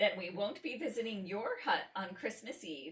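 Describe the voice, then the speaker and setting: This woman uses a put-on character voice, shrill and fairly high-pitched. She talks at a moderate pace. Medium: read story. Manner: screeching.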